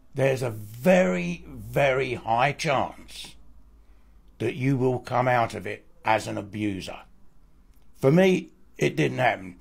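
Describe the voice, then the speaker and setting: A man speaks at a medium pitch with a somewhat breathy voice and lively intonation. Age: 70s. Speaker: abuse survivor and author. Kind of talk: testimony.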